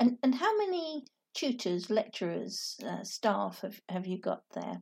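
With a British accent, a woman speaks at a fairly slow pace. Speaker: podcast host. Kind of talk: interview.

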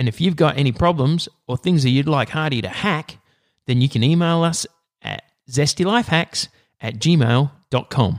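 The sound is dry and close with no echo. A man with a fairly high pitch talks at a moderate pace with lively intonation. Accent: Australian. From Australia. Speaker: podcast host. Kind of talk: casual chat; scripted announcement.

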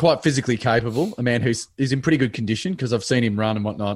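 Man with an Australian accent and lively intonation, set against a quiet background. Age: 40s. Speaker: comedian. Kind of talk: casual chat. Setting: remote call from home office.

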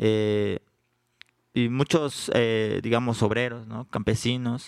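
A man's medium-pitched voice at a very slow pace, the sound dry and close with no echo. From Juchitán, Oaxaca, Mexico. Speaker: rapper. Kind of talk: live panel interview. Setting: stage with audience at book fair.

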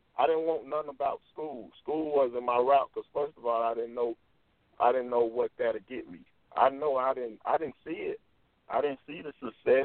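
A man with an ordinary speaking voice talks at a moderate pace, fairly high in pitch with fairly even intonation and big swings in loudness. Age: 20s. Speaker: author and youth speaker. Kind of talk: interview.

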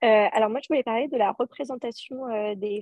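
Moderate pace with fairly even intonation. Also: woman. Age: 20s. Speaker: association president. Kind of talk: casual chat.

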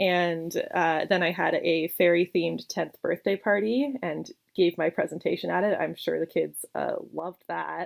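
A woman with a Canadian accent speaks at a moderate pace. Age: 20s. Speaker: game designer. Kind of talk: interview.

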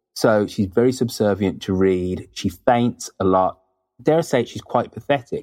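At a moderate pace, a man with a British accent speaks in a fairly low pitch with ordinary pitch variation. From Britain. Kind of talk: casual interview chat. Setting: remote internet call.

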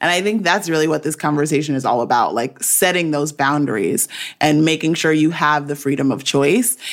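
Speaking at a moderate pace, a woman has a very deep, low pitch and lively intonation. The recording is very clean, with a silent background. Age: 30s. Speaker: podcast host. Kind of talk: casual roundtable chat. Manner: animated.

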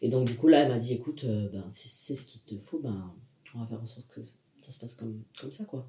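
Here a man speaks at a medium pitch and a fairly quick pace with ordinary pitch variation. His tone is dark and mellow, and somewhat breathy. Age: 20s. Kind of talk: casual interview conversation.

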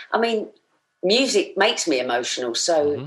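This woman moves at a moderate pace with very wide pitch swings. Vocal fry runs through her speech. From Essex, England. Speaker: musical theatre performer. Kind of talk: casual chat.

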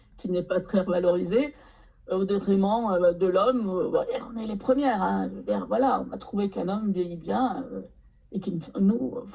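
Her voice medium in pitch, somewhat breathy and dark and mellow in tone, a woman speaks fairly slowly with long, frequent pauses. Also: ordinary pitch variation. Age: 60s. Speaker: novelist. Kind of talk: casual chat.

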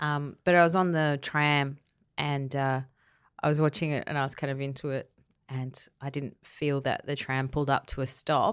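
A woman's very deep, low-pitched voice in a monotone, flat intonation on a very clean recording with a silent background. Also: moderate pace. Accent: Australian. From Queensland, Australia. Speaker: comedy writer and director. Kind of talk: casual chat.

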